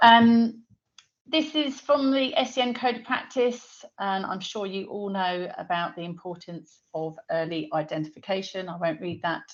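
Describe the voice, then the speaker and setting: A woman with a British accent talks at a medium pitch with lively intonation. Her loudness swings widely. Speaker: dyslexia screening founder. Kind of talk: webinar presentation. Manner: fast.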